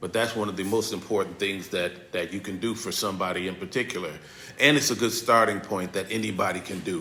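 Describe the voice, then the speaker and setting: A man's fairly low voice at a very fast pace, with ordinary pitch variation and noticeable background noise. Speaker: victim advocate and pastor. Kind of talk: workshop presentation.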